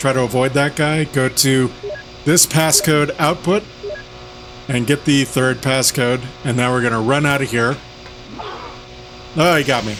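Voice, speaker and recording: A man talks at a medium pitch, with long, frequent pauses. Noticeable background noise runs under his voice. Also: ordinary pitch variation, fairly slow pace. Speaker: video game walkthrough host. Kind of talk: gameplay walkthrough commentary. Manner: casual, conversational.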